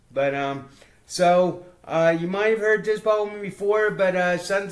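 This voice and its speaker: A high-pitched man's voice at a fairly slow pace, fairly even in intonation, over noticeable background noise. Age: 70s. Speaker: podcast co-host and poet. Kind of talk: casual chat. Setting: at co-host's home. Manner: halting.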